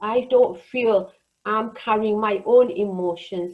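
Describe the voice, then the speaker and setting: A woman's ordinary speaking voice, fairly high in pitch, at a fairly slow pace. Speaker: counsellor. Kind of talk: online group workshop presentation.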